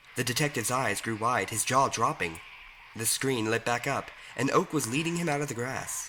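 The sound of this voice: Here the words come in an unforced reading voice.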